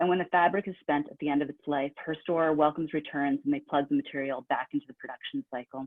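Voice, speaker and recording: A woman with a very deep, low pitch, fairly even intonation and a very fast pace. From northeastern US. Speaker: writer giving a reading. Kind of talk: reading aloud of own fiction. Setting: online reading event.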